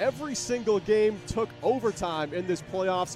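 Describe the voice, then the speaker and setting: A man's energetic, high-pitched voice with ordinary pitch variation, set against music in the background. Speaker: sports broadcaster. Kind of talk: ice hockey play-by-play. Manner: energetic, clear.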